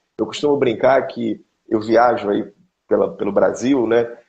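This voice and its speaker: A man in a Carioca accent at a moderate pace. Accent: carioca Brazilian Portuguese. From Rio de Janeiro, Brazil. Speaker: pastor. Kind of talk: interview on family teaching.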